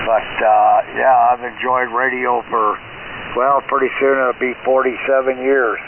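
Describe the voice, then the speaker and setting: A medium-pitched man at a very slow pace, with noticeable background noise. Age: 80s+. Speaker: ham radio net control, Vietnam veteran. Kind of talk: amateur radio net chat. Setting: shortwave radio transmission.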